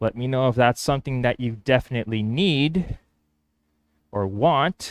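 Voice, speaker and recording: Medium in pitch, a man talks at a moderate pace with ordinary pitch variation. The very clean recording has a silent background and a dry, close sound with no echo. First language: Spanish. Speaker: woodworker. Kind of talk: work vlog monologue. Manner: casual, thinking aloud.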